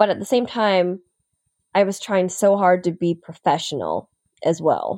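A woman with an American accent and a normal speaking voice talks at a fairly slow pace and very even loudness. Her medium pitch has ordinary pitch variation. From upstate New York. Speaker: TV news anchor. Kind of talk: casual interview.

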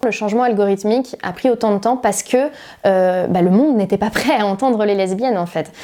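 Her tone is dark and mellow, with ordinary pitch variation. The woman speaks at a fairly quick pace. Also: medium pitch for a woman. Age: 30s. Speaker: activist. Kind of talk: interview testimony.

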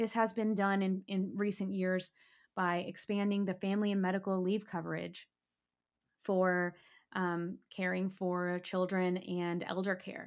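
On a very clean recording with a silent background, a woman with an American accent speaks at a fairly slow pace. Her medium-pitched voice has monotone, flat intonation. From Kentucky (Lexington). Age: 20s. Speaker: podcast host and emergency medicine resident physician. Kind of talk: solo podcast monologue on health policy.

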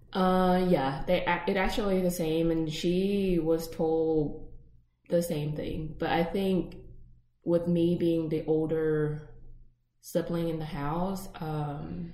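Speaking very slowly with flat, monotone intonation, a woman with a fairly low pitch is heard in a room with audible echo. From Vietnam. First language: Vietnamese. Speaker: podcast co-host. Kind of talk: casual chat.

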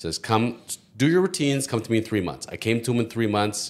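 The speaker talks at a fairly quick pace. It is an ordinary speaking voice. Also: man. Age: 40s. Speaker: lawyer. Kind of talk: casual chat.

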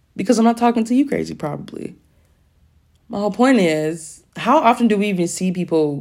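A woman with an unremarkable speaking voice talks at a fairly quick pace with lively intonation. The recording is very clean, the background silent. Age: 20s. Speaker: podcast host. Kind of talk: solo monologue. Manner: casual, laughing often.

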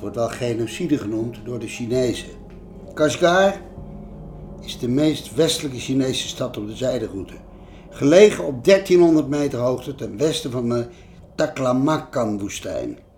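Against noticeable background noise, a man speaks at a moderate pace in a medium-pitched voice with lively intonation. His loudness swings widely, and he takes long, frequent pauses. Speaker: change management consultant and author. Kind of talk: narration of travel stories.

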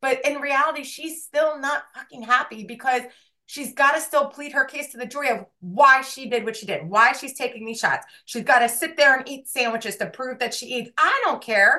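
Her voice is raised and projected, high in pitch with a bright, sharp tone, as this woman speaks at a moderate pace with ordinary pitch variation and big swings in loudness. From New Jersey. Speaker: podcast co-host. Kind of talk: casual chat.

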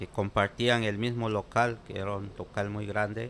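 A man is talking at a medium pitch. His pace is fairly slow. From Guatemala, Sololá. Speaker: immigrant. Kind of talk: interview. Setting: makeshift studio.

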